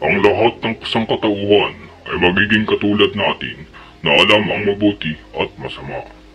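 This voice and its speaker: Putting on a character voice, a man speaks at a moderate pace in a fairly low pitch. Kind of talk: solemn scripture reading. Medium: audio drama. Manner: grave, authoritative.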